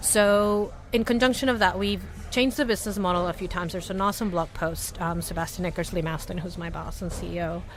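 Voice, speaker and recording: Very fast speech in an American accent over noticeable background noise. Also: woman, medium pitch for a woman, ordinary pitch variation. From Latin America. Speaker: startup company staff member. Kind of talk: interview conversation. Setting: booth at a venue with others. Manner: animated.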